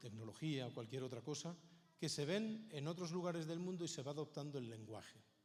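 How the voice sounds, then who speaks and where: Amid audible room echo, a man with a Spanish accent speaks at a fairly high pitch and a moderate pace with lively intonation. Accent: Peninsular Spanish. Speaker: Bible society speaker. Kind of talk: conference talk.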